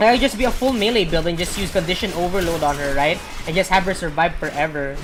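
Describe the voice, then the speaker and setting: Delivery comes at a fairly quick pace with ordinary pitch variation. Background noise is noticeable. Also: woman. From Philippines. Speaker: video game streamer. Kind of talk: casual gameplay commentary. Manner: rambling, hesitant with fillers.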